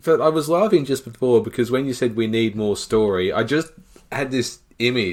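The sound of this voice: A reading voice sounds unforced here.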